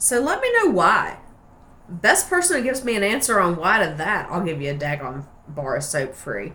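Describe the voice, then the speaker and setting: In a relaxed tone, a woman speaks at a medium pitch with very wide pitch swings. Audible room echo and noticeable background noise surround her voice. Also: moderate pace. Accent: American. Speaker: soap maker. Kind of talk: casual tutorial. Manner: chatty, relaxed.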